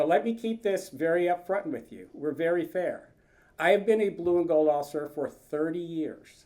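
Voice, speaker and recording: This man's voice sits high in pitch with a dark, mellow tone, ordinary pitch variation and a moderate pace. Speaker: retired naval officer and admissions field representative. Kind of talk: presentation to an audience. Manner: loud.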